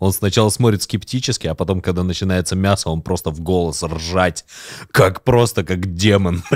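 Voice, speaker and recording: Pitched very deep and low, a man talks at a moderate speed, his pitch varying in an ordinary way. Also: quiet background. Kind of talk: casual chat. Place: studio. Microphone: studio mic.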